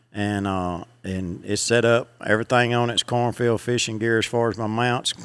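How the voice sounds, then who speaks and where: At a moderate pace, a man with a Southern US accent speaks at medium pitch in a monotone, flat manner. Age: 60s. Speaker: fishing guide. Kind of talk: casual interview.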